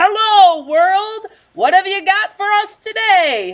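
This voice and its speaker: A put-on character voice speaks loudly at an extremely high pitch. The pace is fairly slow. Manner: loud, booming.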